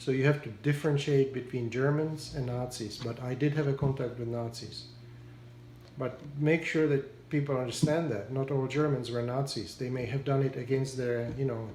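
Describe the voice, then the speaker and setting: Medium-pitched man with a Czech accent, moderate pace, fairly even intonation and audible room echo. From Czechoslovakia (Prague). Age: 70s. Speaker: war survivor interviewee. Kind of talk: interview. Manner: halting.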